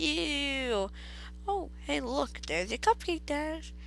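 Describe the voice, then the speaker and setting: This female-sounding voice is a put-on character voice and speaks at a very slow pace. Background noise is clearly audible. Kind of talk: creepypasta reading. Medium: read story. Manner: bubbly, giggly, cheerfully sinister.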